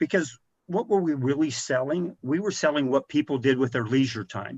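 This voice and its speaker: A man in a normal speaking voice, fairly high-pitched with lively intonation, at a moderate pace, dry and close with no echo against a quiet background. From rural Missouri, US Midwest. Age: 60s. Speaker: video game industry executive. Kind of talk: podcast interview.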